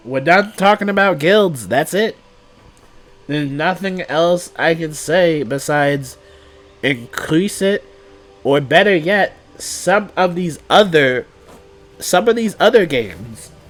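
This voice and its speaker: Over noticeable background noise, a man with a high pitch speaks at a very slow pace, with lively intonation and long, frequent pauses. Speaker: gaming youtuber. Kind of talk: casual commentary.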